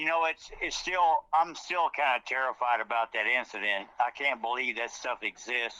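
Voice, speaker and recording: At a moderate pace and with hardly any pauses, a man speaks at a medium pitch with a bright, sharp tone. His pitch varies in an ordinary way, and the sound is dry and close with no echo. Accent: Louisiana. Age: 60s. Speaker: eyewitness, military veteran. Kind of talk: interview, personal account.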